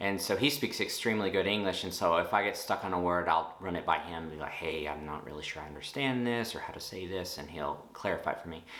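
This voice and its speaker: The speaker talks at a very fast pace with a Texan accent, leaving hardly any pauses. Pitch variation is ordinary, and there is noticeable background noise. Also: man, very deep, low pitch for a man. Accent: Texan American English. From Texas, USA. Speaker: nurse. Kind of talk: casual talk to camera.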